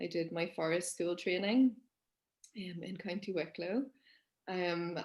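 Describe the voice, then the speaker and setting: This woman speaks with a Northern Irish accent. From Northern Ireland, Belfast. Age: 30s. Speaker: forest school teacher and nature educator. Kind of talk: interview conversation. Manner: hesitant, many fillers.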